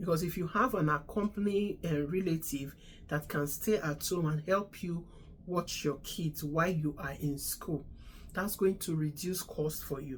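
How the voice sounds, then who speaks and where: A woman's somewhat breathy voice at a moderate pace, with ordinary pitch variation. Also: fairly low pitch for a woman. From Nigeria. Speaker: immigration advice vlogger, registered nurse. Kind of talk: casual advice talk.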